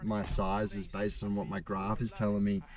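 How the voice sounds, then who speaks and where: A man with an Australian accent. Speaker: pro bass angler. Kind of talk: fishing vlog. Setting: in a car.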